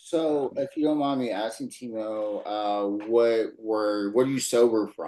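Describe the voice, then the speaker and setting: A man talks at a fairly slow pace in a Louisiana accent. His tone is dark and mellow. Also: medium pitch for a man, ordinary pitch variation. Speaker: podcast host. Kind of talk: panel discussion. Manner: casual, many fillers.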